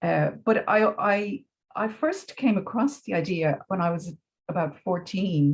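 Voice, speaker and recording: This woman speaks with a Dublin accent at a fairly slow pace. Her voice is somewhat breathy, and her intonation is lively. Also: medium pitch for a woman. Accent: Dublin Irish. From Ireland, Dublin. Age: 60s. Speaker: educator. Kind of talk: interview. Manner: hesitant, many fillers.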